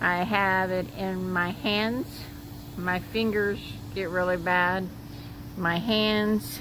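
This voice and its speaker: Over noticeable background noise and audible room echo, a woman talks at a medium pitch with fairly even intonation. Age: 60s. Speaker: interviewee, mother of student. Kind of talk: casual interview.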